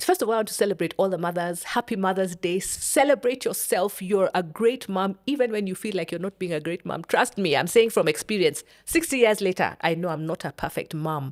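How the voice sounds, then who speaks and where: A woman's unremarkable speaking voice at medium pitch, fairly quick with hardly any pauses and lively intonation. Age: 60s. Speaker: bereaved mother. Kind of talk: interview.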